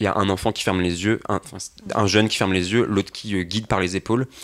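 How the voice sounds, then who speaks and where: A man keeps his intonation fairly even and his pitch fairly low while talking at a fairly quick pace. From Brittany, France (Saint-Gravé). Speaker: volunteer educator. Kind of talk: casual panel discussion. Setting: radio studio, live broadcast. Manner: fast.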